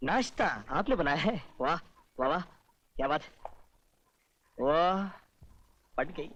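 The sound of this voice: In a put-on character voice, a man speaks slowly at a fairly high pitch, with lively intonation and a fairly bright tone.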